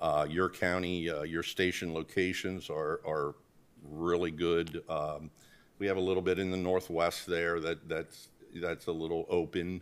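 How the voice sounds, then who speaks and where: A man speaks in a very deep, low pitch. His pace is fairly slow and his intonation fairly even. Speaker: presenter. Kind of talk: presentation to board. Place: meeting room. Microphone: podium.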